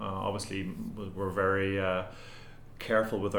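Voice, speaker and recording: Over audible room echo, the speech runs at a fairly quick pace with monotone, flat intonation. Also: man. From Ireland. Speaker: tech company CEO. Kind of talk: interview. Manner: hesitant with frequent repetitions.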